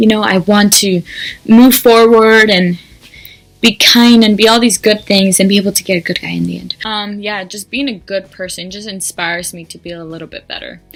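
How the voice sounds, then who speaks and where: Her loudness swings widely as a woman speaks at a moderate pace in a medium pitch with fairly even intonation. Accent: Spanish. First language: Spanish. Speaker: YouTuber. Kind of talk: casual vlog monologue. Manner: hesitant, many ums.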